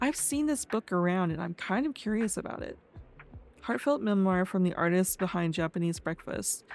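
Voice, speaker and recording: A woman with a medium-pitched voice and lively intonation talks at a moderate pace over music in the background. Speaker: gaming video creator. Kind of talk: game commentary while reading on-screen text aloud. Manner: halting, with stumbles.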